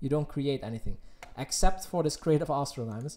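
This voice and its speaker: The recording is very clean, and the background is silent. A man speaks at a fairly high pitch with a slight Dutch accent. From Netherlands. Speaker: gaming streamer. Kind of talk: live stream Q&A. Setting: live stream.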